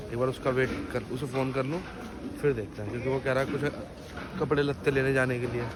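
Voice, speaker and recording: Over noticeable background noise, a man with a medium pitch speaks in a monotone, flat way at a fairly quick pace, broken by long, frequent pauses. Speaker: vlogger. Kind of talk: casual vlog narration.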